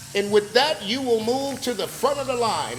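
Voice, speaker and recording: Over noticeable background noise, a man with an extremely high pitch talks at a moderate pace in an animated tone. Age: 60s. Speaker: podcast host, business motivator. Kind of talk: casual motivational talk. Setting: barbershop.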